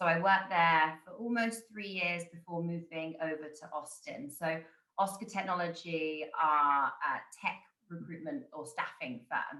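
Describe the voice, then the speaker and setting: A woman talks at a fairly slow pace with a fairly low pitch and ordinary pitch variation. Her loudness swings widely. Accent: British. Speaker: recruitment consultant. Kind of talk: panel introduction.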